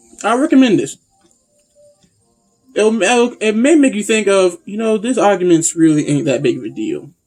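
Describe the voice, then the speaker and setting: Over background music, a man speaks at a high pitch with very wide pitch swings. His pace is moderate, with long, frequent pauses. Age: 21+. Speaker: anime and manga reviewer. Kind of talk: casual review monologue. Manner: halting, repetitive.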